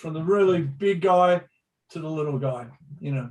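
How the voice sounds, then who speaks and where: Speaking at a moderate pace with an Australian accent, a man has a fairly high pitch and ordinary pitch variation. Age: 60s. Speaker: pro surfer and surf reporter. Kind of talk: casual interview storytelling.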